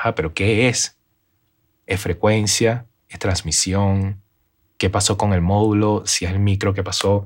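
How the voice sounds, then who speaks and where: A man talks fairly slowly in a fairly low, flat monotone, with long, frequent pauses, in a very clean recording with a silent background. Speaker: live sound and RF engineer. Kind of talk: interview.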